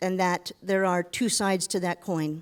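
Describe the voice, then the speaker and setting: In a very clean recording with a silent background, a woman with a plain, everyday voice speaks at a moderate pace and medium pitch. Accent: American. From United States. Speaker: business director, panelist. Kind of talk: panel discussion.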